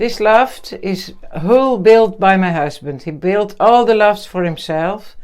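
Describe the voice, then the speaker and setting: At a fairly slow pace, a woman with a Dutch accent speaks in a medium-pitched voice with lively intonation. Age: 60s. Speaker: pigeon fancier. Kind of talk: casual chat. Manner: halting.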